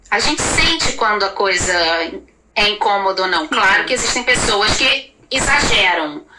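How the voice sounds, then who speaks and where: Noticeable background noise sits behind a woman speaking at a moderate pace and medium pitch. Her pitch swings very widely while her loudness stays very even. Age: 40s. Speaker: actress. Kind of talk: casual chat.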